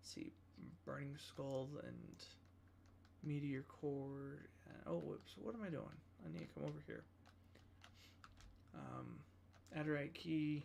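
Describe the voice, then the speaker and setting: The speaker mumbles at a fairly slow pace, with long, frequent pauses. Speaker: gaming livestreamer. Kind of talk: casual livestream commentary. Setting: livestream. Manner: mumbling.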